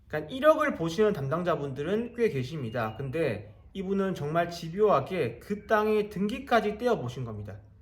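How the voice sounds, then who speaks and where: Noticeable background noise sits behind a man speaking at a moderate pace with hardly any pauses. His pitch is high and swings very widely. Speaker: real estate auction investor and YouTuber. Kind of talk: casual explainer monologue. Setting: abroad in Egypt while traveling.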